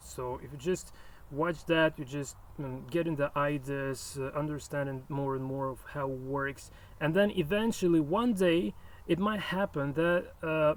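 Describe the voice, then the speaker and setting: A man with a non-native accent speaks at a moderate pace. His pitch is fairly high, with ordinary variation. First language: not English. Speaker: chess programming YouTuber. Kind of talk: casual video presentation. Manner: halting, many fillers and repetitions.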